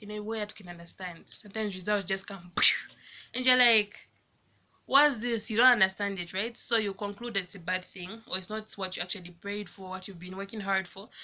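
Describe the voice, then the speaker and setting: Her voice sits at a medium pitch and carries a bright, sharp tone. The woman talks at a fairly quick pace with fairly even intonation. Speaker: lifestyle vlogger. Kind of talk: casual talk to camera. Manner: fast.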